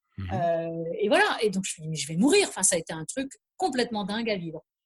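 Speaking at a very fast pace, a woman sounds somewhat breathy. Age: 50s. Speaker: journalist, author and trail runner. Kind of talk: casual chat.

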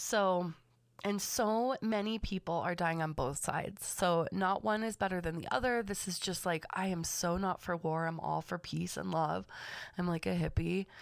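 A woman speaks with a Californian accent and a fairly low pitch. Her recording is very clean, with a silent background. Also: ordinary pitch variation, moderate pace. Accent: Californian American English. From US West Coast, Los Angeles County. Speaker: podcast host and manifestation coach. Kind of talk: casual solo monologue. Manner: chatty, laughs often.

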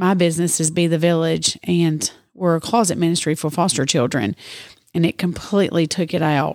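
A woman with a Tennessee accent speaks at a moderate pace, her fairly low pitch showing ordinary variation. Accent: Southern US (Tennessee). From Middle Tennessee. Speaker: charity organizer. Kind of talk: interview. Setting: studio in a store.

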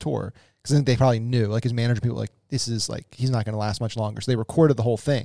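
A man speaks at a medium pitch with fairly even intonation in an unremarkable speaking voice, the sound dry and close with no echo on a very clean recording against a silent background. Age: 30s. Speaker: podcast co-host. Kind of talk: casual chat.

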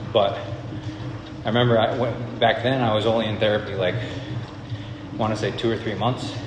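Over noticeable background noise and audible room echo, a man speaks at medium pitch. His pace is moderate and his intonation monotone and flat. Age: 20s. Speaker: video business owner sharing personal story. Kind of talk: personal monologue. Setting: on an elliptical machine.

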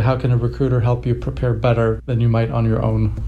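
The voice belongs to a man. Audible room echo surrounds his words. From Sweden. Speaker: podcast host. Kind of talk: casual interview.

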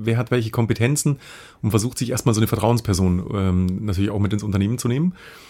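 The man has an unremarkable speaking voice at a medium pitch, with ordinary pitch variation. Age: 40s. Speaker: business founder and podcast co-host. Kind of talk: casual interview chat.

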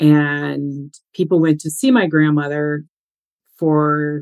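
A woman's very deep, low voice with monotone, flat intonation, dry and close with no echo. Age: 50s. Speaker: psychic medium and author. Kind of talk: interview.

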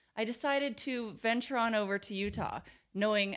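In an American accent, a woman speaks with a normal speaking voice at a moderate pace. Her pitch varies in an ordinary way, and the recording is very clean with a silent background. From Portland, Oregon, US. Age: 20s. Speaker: podcast host, nurse. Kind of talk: casual chat.

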